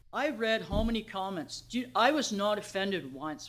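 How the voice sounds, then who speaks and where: A woman speaks with lively intonation. Room echo is audible. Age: 60s. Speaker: member of the public at council meeting. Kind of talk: public comment. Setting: council meeting. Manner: halting.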